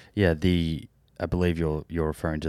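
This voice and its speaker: A man with an Australian accent at a moderate pace, monotone and flat, in a very clean recording with a silent background. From Australia, Melbourne. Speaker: podcast host. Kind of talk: personal story; interview.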